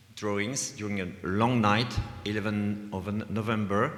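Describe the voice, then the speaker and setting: With audible room echo, a man speaks fairly slowly in a fairly low voice. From France, Vendée. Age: 60s. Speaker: visual artist. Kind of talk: lecture. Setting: stage with audience. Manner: halting.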